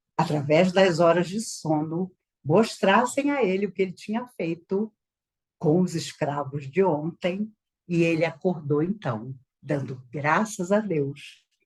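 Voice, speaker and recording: With lively intonation and a somewhat breathy quality, a woman talks at a very slow pace in a fairly low pitch. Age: 60s. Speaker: spiritist speaker.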